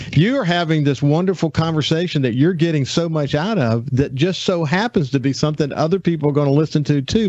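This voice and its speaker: Noticeable background noise sits under a man with a Southern US accent who talks fairly quickly at a fairly high pitch. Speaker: radio host. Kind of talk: radio interview. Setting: studio.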